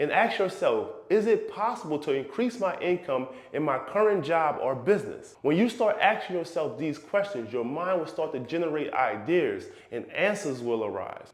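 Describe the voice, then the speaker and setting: In a room with audible echo, a man talks at a high pitch with very wide pitch swings. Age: 30s. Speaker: real estate investor and finance YouTuber. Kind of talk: personal finance vlog.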